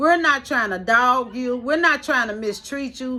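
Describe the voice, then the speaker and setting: With a raised, projected voice, a woman speaks at a high pitch and a moderate pace, her tone animated and her intonation lively. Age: 50s. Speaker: vlogger. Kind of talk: live stream monologue.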